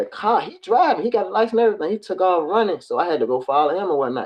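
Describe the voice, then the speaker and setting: A man talks at a very fast pace. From Richmond, Virginia (US South). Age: 30s. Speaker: former prisoner sharing life story. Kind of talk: testimony. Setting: livestream podcast.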